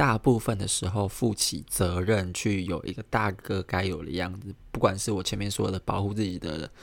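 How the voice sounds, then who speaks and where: A soft-spoken man talks at a moderate pace in a very deep, low pitch with fairly even intonation. The recording is very clean, with a silent background. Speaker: podcast host. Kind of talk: casual solo monologue. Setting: home apartment room, recorded near midnight. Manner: soft-spoken, keeps voice low late at night.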